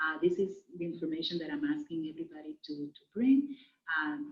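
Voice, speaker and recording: In a Spanish accent, the woman talks at a moderate pace. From Dominican Republic, raised largely in the US. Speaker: Spanish teacher. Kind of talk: recorded class introduction. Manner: hesitant, many fillers.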